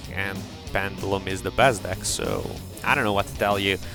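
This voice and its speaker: Music plays in the background. A man talks at a fairly low pitch. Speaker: Yu-Gi-Oh gameplay commentator. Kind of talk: gameplay commentary. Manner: casual, hesitant.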